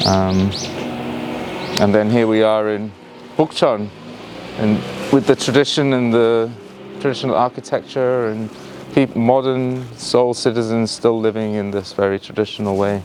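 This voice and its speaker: A man at a moderate pace with fairly even intonation and long, frequent pauses, against noticeable background noise. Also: medium pitch for a man. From northern England, Yorkshire. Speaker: tour guide. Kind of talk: live virtual tour narration. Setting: outdoors. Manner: halting, many fillers; hushed, quiet.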